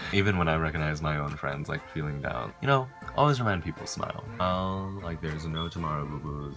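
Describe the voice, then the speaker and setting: With music in the background and audible room echo, a man with a non-native accent speaks fairly quickly in a very deep, low pitch. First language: not English. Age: young. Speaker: college student vlogger. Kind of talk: casual vlog. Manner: casual, filler-heavy.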